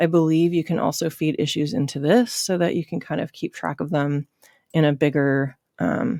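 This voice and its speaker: A woman talks at a moderate pace with a very deep, low pitch, a dark, mellow tone and ordinary pitch variation. The recording is very clean with a silent background and a dry, close sound with no echo. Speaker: web development instructor. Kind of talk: screen-recorded coding tutorial. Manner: off the cuff, many filler words.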